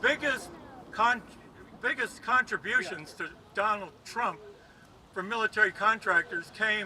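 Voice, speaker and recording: A man speaks in a high pitch with a raised, projected voice. There is noticeable background noise. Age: 80s+. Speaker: protest speaker. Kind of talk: rally speech.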